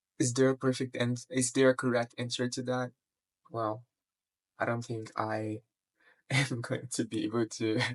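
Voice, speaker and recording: A quiet man speaks at a moderate pace and medium pitch, in monotone, flat intonation with long, frequent pauses. The sound is dry and close, with no echo. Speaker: vlogger. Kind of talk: personal vlog monologue. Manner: quiet, lowered voice; halting, many fillers.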